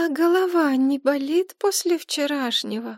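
On a very clean recording with a silent background, a woman does a put-on character voice at a high pitch and a moderate pace. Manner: timid.

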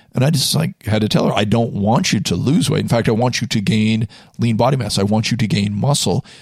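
Using an ordinary speaking voice, a man talks fairly quickly at a medium pitch with very even loudness. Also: ordinary pitch variation. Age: 40s. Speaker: personal trainer. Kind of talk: casual chat. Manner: many fillers.

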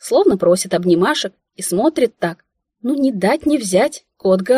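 In a quiet setting, the speaker is reading aloud in a natural voice, and the intonation is lively.

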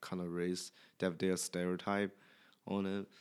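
A man talks with a Chinese accent at a fairly slow pace. His pitch is very deep and low. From China. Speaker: podcast guest. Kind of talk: casual chat. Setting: at home in the host's apartment. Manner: halting.

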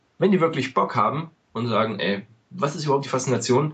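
His medium-pitched, somewhat breathy voice moves at a moderate pace with ordinary pitch variation. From eastern Germany. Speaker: podcast host, American football fan. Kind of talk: casual podcast chat.

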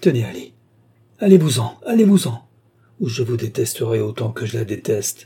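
Using a put-on character voice, a man speaks at a moderate pace and medium pitch, his dark, mellow tone carrying a husky, rough edge and big pitch swings.

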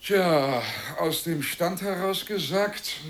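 A man talks slowly in a put-on character voice, pitched high with a fairly bright tone and ordinary pitch variation.

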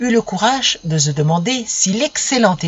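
Lively intonation in an unforced reading voice

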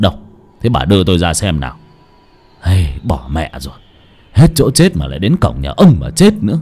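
In a put-on character voice, a man speaks low in pitch with big pitch swings, a slightly mellow tone and a slightly husky edge. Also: moderate pace.

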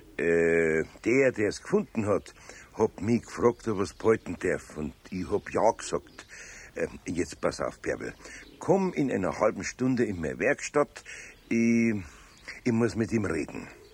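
A man's put-on character voice, low-pitched with a slightly husky edge, big pitch swings and a fairly slow pace

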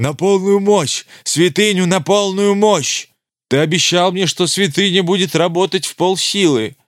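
Shouting in a put-on character voice, the speaker keeps a moderate pace and ordinary pitch variation on a very clean recording with a silent background. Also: man, high pitch for a man. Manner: furious shouting.

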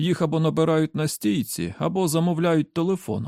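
Over a very clean recording with a silent background, a voice with vocal fry and a dark, mellow tone moves at a fairly quick pace. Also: man, dry, close sound with no echo.

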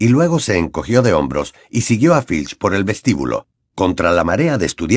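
This is plain reading aloud. The background is quiet.

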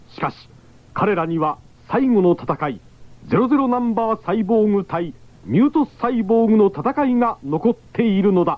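A man's high-pitched voice with lively intonation at a moderate pace.

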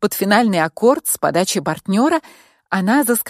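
Plain reading aloud with lively intonation over a quiet background

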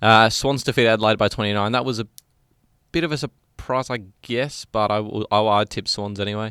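A man talks very fast in a fairly low pitch with a bright, sharp tone and ordinary pitch variation. The recording is very clean, dry and close, with a silent background and no echo. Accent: Australian. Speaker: podcast co-host. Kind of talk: casual chat.

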